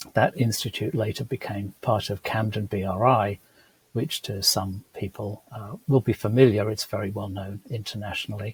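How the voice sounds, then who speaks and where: With a British accent and a fairly low pitch, a man speaks at a moderate pace in a somewhat breathy voice, recorded dry and close with no echo. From UK. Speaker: food microbiologist. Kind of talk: interview.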